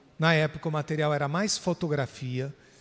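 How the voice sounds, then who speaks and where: A man at a fairly high pitch with ordinary pitch variation, on a very clean recording over a silent background. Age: 60s. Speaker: panel moderator, actor. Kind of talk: panel discussion.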